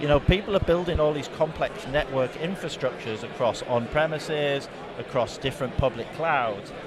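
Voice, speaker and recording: Fairly high-pitched with ordinary variation, a man talks at a moderate pace over noticeable background noise. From England. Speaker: tech company product specialist. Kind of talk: conference interview. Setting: conference show floor.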